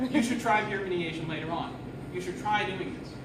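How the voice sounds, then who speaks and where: Speaking fairly quickly in a high voice with lively intonation, a man is heard amid noticeable background noise and audible room echo. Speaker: IT help desk worker giving a talk. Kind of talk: short presentation talk. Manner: fast.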